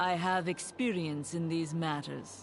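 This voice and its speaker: Over clear background noise, a put-on character voice speaks at a middle pitch and fairly slow pace. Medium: video game. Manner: terse, resolute.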